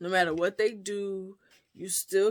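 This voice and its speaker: Recorded very cleanly against a silent background, a woman with an American accent speaks at medium pitch and a moderate pace, her intonation fairly even. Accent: slight Gullah twang. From US South, Gullah Geechee community. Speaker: author and book reviewer. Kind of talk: book review vlog. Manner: casual, conversational with fillers.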